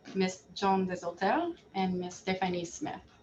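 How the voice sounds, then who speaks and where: Noticeable background noise sits behind a woman speaking with a Quebec accent. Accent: Canadian French-accented English. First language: French. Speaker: board chair. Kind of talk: virtual annual general meeting. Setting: video call.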